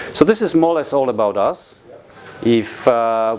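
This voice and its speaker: A man keeps a moderate pace and ordinary pitch variation as noticeable background noise plays behind him. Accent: Polish. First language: Polish. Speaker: company representative presenting products. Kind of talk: product presentation to an audience. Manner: halting, many fillers.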